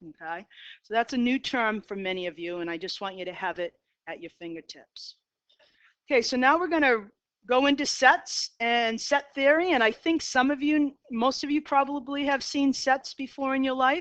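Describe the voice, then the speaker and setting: With a Boston accent, a woman speaks at a high pitch and a moderate pace, with very wide pitch swings and big swings in loudness over a quiet background. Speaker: math teacher. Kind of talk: lecture. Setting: classroom.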